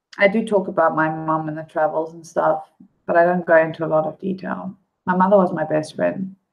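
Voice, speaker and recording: Backed by music, a woman with a fairly low voice speaks with fairly even intonation and big swings in loudness. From South Africa. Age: 30s. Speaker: live streamer. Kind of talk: casual chat. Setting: live stream.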